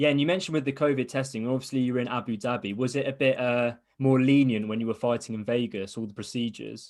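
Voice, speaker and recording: Over a quiet background, a man with an English accent talks very fast at medium pitch with fairly even intonation and hardly any pauses. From England. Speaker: interviewer, fight podcast host. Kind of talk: interview.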